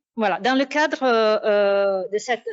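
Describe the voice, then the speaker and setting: A woman with an Italian accent speaks at a fairly high pitch with lively intonation. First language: Italian (speaking French). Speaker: academic researcher. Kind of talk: conference talk. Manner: hesitant, many fillers.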